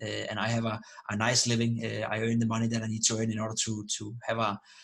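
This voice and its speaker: Over noticeable background noise and audible room echo, a man with a non-native accent talks very fast at a medium pitch in a monotone, flat intonation. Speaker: esports analyst and streamer. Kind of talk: interview. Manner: halting with many repetitions.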